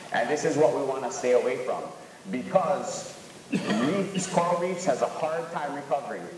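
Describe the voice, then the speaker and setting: There is audible room echo and light background noise. The pace is moderate. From Hawaii. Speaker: local fisherman in documentary. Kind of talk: documentary interview. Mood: earnest, protective. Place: classroom.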